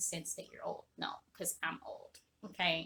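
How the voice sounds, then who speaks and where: An animated tone from a woman with a Jamaican accent. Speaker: online business coach. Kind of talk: motivational talk to camera.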